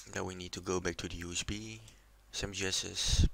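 Speaking at a very slow pace, a man has a very deep, low pitch with a bright, sharp tone. He talks with a non-native accent. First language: not English. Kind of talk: casual tutorial voiceover.

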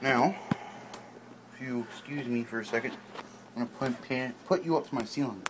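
Against noticeable background noise, a man talks at a fairly quick pace with ordinary pitch variation and long, frequent pauses. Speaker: vlogger. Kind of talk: casual vlog talk to camera. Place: home room. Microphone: phone near.

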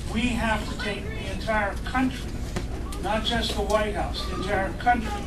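A man talks at a moderate pace while loud background noise fills the recording. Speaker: candidate. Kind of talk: campaign speech. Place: cafe.

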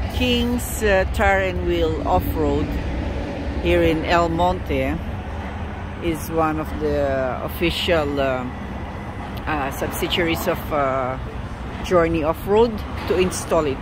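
Through noticeable background noise, a man talks at a very slow pace with long, frequent pauses, the sound dry with no echo. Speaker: van owner vlogger. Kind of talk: casual vlog chat. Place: street. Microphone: phone near.

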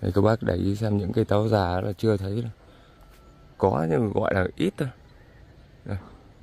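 This man has a dark, mellow tone and a fairly low pitch with ordinary variation. He talks at a moderate pace with long, frequent pauses, and the sound is dry with no echo. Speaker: farmer vlogger. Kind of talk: casual vlog walking tour. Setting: outdoors in fields. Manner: conversational, somewhat halting with fillers. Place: farm machine. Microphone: phone near.

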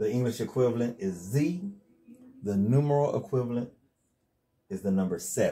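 A man speaks with a dark, mellow tone and a somewhat breathy quality, his pitch swinging very widely. He leaves long, frequent pauses against a quiet background. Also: medium pitch for a man, moderate pace. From North Carolina, USA. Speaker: religious teacher. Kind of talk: casual instructional talk to camera. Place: home room. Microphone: lapel.

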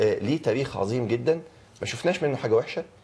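A man's voice comes through somewhat breathy. Its tone is dark and mellow. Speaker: talk show guest. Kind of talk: interview answer. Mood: earnest, measured. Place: studio.

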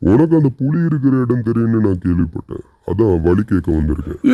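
Using a cartoonish character voice, a man speaks at a medium pitch. His pace is moderate. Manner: commanding.

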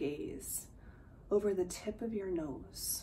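A woman at medium pitch and a very slow pace, with light background noise. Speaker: meditation instructor. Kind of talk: guided meditation. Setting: video. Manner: slow, calm, soothing, with long pauses between cues; soft, gentle, measured. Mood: calm, soothing. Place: home room. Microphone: earbuds.

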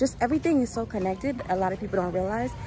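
A woman speaks with ordinary pitch variation in a dry sound with no echo, against light background noise. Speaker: vlogger. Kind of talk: casual vlog chat. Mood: upbeat, reflective. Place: street. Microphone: earbuds.

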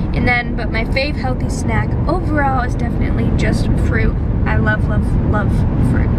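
A woman speaks at a fairly slow pace. The sound is dry with no echo, under loud background noise. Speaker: fitness vlogger. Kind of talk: casual vlog Q&A answers. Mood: cheerful, relaxed. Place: car. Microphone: phone near.

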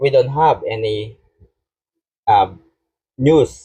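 The man's voice is somewhat breathy, with a dark, mellow tone. He speaks at a very slow pace. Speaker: political commentator. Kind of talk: live stream commentary.

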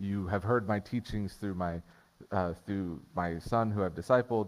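In a normal speaking voice, a man talks at a fairly slow pace with a fairly low pitch and fairly even intonation. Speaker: preacher. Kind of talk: sermon. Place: church.

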